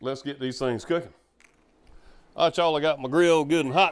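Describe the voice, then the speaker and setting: Relaxed in tone, a man with a Southern US accent speaks at a moderate pace and a fairly high pitch. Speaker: home barbecue cook. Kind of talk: casual cooking tutorial to camera. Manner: relaxed, folksy.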